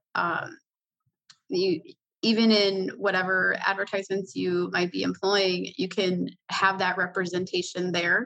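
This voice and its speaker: A woman's medium-pitched, fairly even delivery with an American accent, an ordinary speaking voice, at a fairly slow pace. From Chicago, Illinois. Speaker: healthcare news reporter. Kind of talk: interview.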